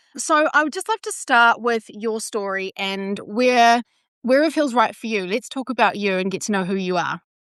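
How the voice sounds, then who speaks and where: With an ordinary speaking voice, a woman talks at a moderate pace and fairly high pitch with lively intonation, the sound dry and close with no echo and the background quiet. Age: 30s. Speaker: podcast host, nutritionist and personal trainer. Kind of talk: podcast interview; scripted intro. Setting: online call.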